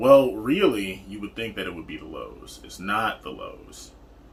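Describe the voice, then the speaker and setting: A man's fairly slow speech carries audible room echo, with noticeable background noise behind it. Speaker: partner of a type one diabetic. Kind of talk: casual chat.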